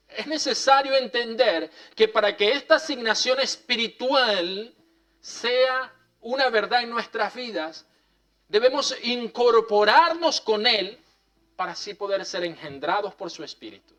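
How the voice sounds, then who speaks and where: This man's voice is extremely high in pitch, with a bright, sharp tone and lively intonation. He talks at a fairly slow pace, and his loudness swings widely. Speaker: pastor. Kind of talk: sermon. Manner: repeats words, some hesitation.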